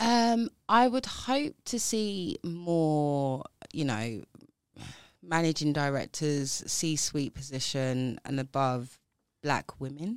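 A woman with a South East London accent speaks at a very slow pace in a very deep, low voice with very wide pitch swings. The recording is very clean with a silent background and a dry, close sound with no echo. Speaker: banking professional and diversity advocate. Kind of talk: casual interview chat.

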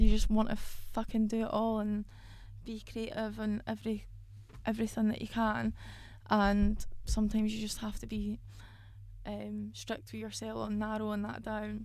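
This woman speaks in a Scottish accent, leaving long, frequent pauses. Her loudness swings widely. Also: moderate pace. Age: 20s. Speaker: independent musician and podcast host. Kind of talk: casual monologue.

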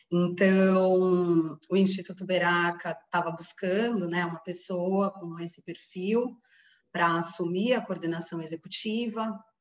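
With a plain, everyday voice, a woman talks fairly slowly at a fairly low pitch and with fairly even intonation. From Brazil, São Paulo. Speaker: forest engineer, NGO coordinator. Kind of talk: podcast interview.

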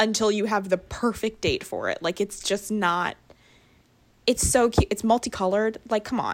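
Very clean recording, silent background. An unremarkable speaking voice moves at a moderate pace with fairly even intonation. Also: woman, fairly high pitch for a woman. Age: 20s. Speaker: podcast co-host. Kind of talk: casual chat.

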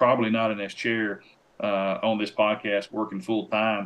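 A man with a Tennessee accent, fairly low in pitch, with ordinary pitch variation. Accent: Southern US (Tennessee). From Tennessee, near Nashville. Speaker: professional hunter and outdoor TV producer. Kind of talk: casual chat.

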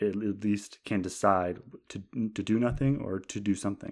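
The recording is very clean, with a silent background. A man with a fairly low pitch speaks in fairly even intonation. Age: 20s. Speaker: podcast host. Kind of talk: casual monologue. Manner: hesitant, many fillers. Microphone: new microphone.

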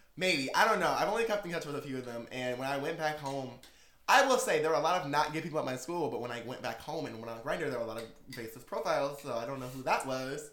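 A man talks at a very fast pace in a fairly high voice with ordinary pitch variation, and the recording has audible room echo and noticeable background noise. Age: 20s. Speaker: podcast host. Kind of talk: casual chat. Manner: animated.

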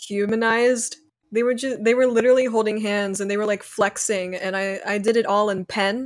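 At a fairly quick pace, a woman with a fairly high pitch speaks in a monotone, flat intonation. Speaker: digital artist. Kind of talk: casual chat.

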